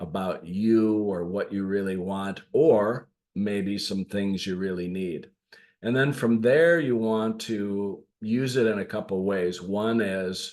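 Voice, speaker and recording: At a very slow pace, a man with an American accent speaks in a fairly low pitch. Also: ordinary pitch variation. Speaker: leadership coach. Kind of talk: podcast monologue. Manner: casual, with fillers.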